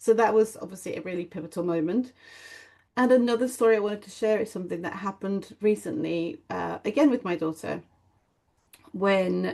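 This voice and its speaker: A woman's dark, mellow tone with vocal fry at a fairly quick pace. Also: medium pitch for a woman, ordinary pitch variation. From Mexico. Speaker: parenting mentor. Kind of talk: interview answer.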